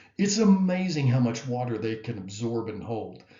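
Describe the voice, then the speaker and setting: Audible room echo colors the voice of a man speaking at a moderate pace. His pitch sits in the medium range and his intonation is lively. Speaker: biology professor. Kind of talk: lecture. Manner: hesitant with many fillers.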